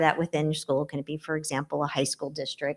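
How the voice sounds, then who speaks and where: Against a quiet background, a woman's voice sounds dry and close, with no echo. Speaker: school administrator presenting to board. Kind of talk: presentation to school board. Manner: loud.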